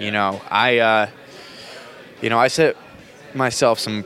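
A man talks with an American accent. His pitch varies in an ordinary way. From New Jersey. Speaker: bartender. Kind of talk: casual interview. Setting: bar.

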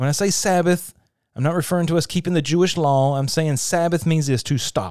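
A man with a plain, everyday voice speaks fairly quickly at a fairly high pitch with ordinary pitch variation, in a very clean recording with a silent background. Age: 40s. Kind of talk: devotional teaching monologue. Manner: conversational, with frequent fillers.

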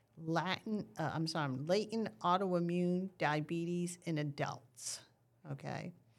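In a plain, everyday voice, a woman speaks fairly slowly at a fairly low pitch with ordinary pitch variation, on a very clean recording with a silent background. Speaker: diabetes nurse educator. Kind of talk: educational explanation in casual interview.

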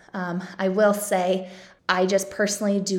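In a room with audible echo, a woman speaks at a medium pitch and a moderate pace. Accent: Midwestern American. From Kansas City suburbs, Johnson County. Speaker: podcast host, local influencer. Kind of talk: casual monologue.

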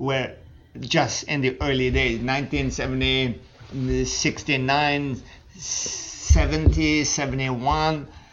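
A man talks at a medium pitch with noticeable background noise behind him. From Iran, then Switzerland (French-speaking). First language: French (originally Persian). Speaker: guest sharing life story. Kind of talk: interview, life story.

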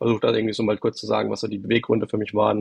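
A man is heard with a dry, close sound with no echo. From Baden, south of Karlsruhe. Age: 30s. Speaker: private investor. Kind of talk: casual interview. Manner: hesitant, many fillers.

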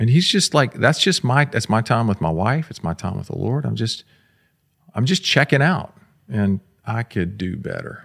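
In an American accent with vocal fry and very wide pitch swings, the voice is recorded dry and close with no echo against a very clean, silent background. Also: man, medium pitch for a man, moderate pace. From Florida, Jacksonville. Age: 50s. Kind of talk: casual chat. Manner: pauses before answering.

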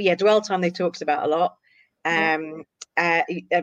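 The sound is dry and close, with no echo. A woman with an ordinary speaking voice talks at a moderate pace. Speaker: social media marketer.

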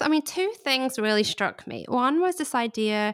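Recorded very cleanly against a silent background, a woman with a British accent speaks high in pitch with lively intonation. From England. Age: 30s. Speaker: guest. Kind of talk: casual chat interview.

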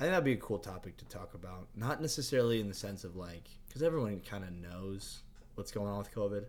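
Talking at a very fast pace with lively intonation, a man with a fairly low pitch is heard against audible room echo. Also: big swings in loudness. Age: 20s. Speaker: podcast co-host, engineer. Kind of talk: casual chat. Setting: studio.

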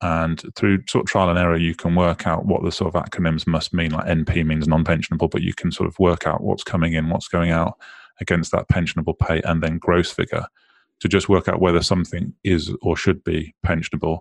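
At a fairly quick pace, a man with a British accent speaks in a very deep, low pitch with monotone, flat intonation against a quiet background. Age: 30s. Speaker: financial advisor. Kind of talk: interview. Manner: halting, many repetitions and fillers.

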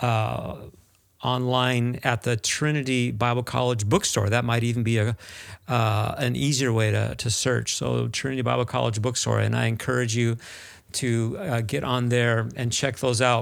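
On a very clean recording with a silent background, a man with an American accent uses a normal speaking voice at medium pitch, moderate pace and fairly even intonation. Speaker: podcast host. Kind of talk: interview.

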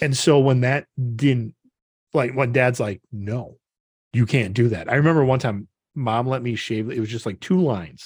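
A man speaks in a normal speaking voice at a medium pitch and moderate pace, with ordinary pitch variation and a dry, close sound in a very clean recording with a silent background. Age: 40s. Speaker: podcast co-host. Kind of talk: casual chat.

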